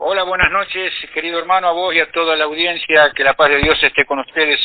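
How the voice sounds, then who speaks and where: With a plain, everyday voice, a man speaks at a fairly quick pace and fairly high pitch, using fairly even intonation and hardly any pauses. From Argentina, Buenos Aires (porteño). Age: 60s. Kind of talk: interview.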